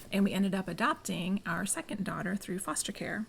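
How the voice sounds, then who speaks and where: A soft-spoken woman with a medium pitch talks with vocal fry. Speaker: homeschool group co-founder. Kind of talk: casual podcast interview. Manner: quiet, soft-spoken.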